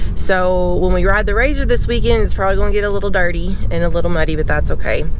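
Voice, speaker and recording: The voice carries an American accent. Noticeable background noise sits behind it. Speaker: RV camping vlogger. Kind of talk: casual vlog. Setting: outdoors on a UTV. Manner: loud.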